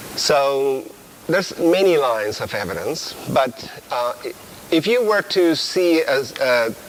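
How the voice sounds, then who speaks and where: A man talks at a very slow pace with a fairly high pitch. His voice makes very wide pitch swings over noticeable background noise. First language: Spanish. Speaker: biology professor. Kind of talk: lecture. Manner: halting. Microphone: poor audio quality at times.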